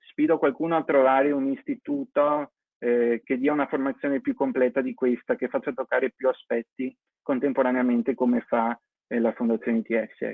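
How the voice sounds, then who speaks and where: With fairly even intonation and a fairly quick pace, this is an unremarkable speaking voice. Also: man, medium pitch for a man. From Venice, Italy. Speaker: vocational course student. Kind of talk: testimony.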